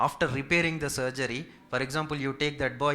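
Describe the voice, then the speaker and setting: In a Telugu accent, a man talks at a fairly quick pace with a fairly high pitch, a bright, sharp tone and fairly even intonation. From India, Hyderabad. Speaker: physiotherapist. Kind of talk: Q&A session with community seniors. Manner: polite, formal.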